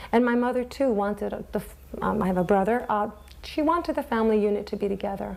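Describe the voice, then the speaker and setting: Over noticeable background noise, a woman speaks at a fairly quick pace with a medium pitch and ordinary pitch variation. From Italy (Mola di Bari), raised in US from age 6. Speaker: Italian-American immigrant. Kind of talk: interview testimony.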